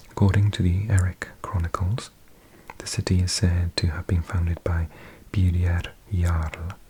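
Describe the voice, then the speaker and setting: Noticeable background noise sits behind a man's voice. His pitch is very deep and low, with monotone, flat intonation. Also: big swings in loudness. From South Wales. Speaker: ASMR creator. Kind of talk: ASMR reading of encyclopedia article as sleep aid. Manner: soft-spoken or whispered, slow.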